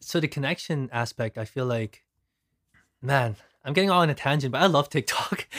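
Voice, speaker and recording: A man speaks at a fairly quick pace, his pitch fairly high. Long, frequent pauses break up his speech, and the sound is dry and close with no echo. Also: ordinary pitch variation, very clean recording, silent background. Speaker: video content creator. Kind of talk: casual chat. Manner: toned down.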